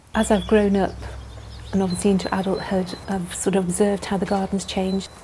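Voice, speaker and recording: A woman with a West Midlands accent, somewhat breathy, medium in pitch with a dark, mellow tone, monotone, flat intonation and a fairly quick pace. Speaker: nurse and garden volunteer. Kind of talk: documentary interview.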